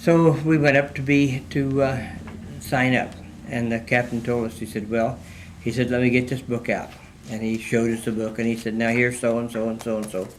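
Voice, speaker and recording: Over noticeable background noise and audible room echo, a man with an American accent speaks at a medium pitch with fairly even intonation. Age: 100+ (born 1922). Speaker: World War II veteran. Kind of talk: oral history interview. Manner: halting, many fillers.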